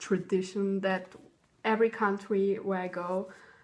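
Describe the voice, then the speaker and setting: In a German accent, a woman of medium pitch speaks slowly with monotone, flat intonation in a very clean recording with a silent background. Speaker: vlogger. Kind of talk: show-and-tell vlog. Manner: hesitant, many ums.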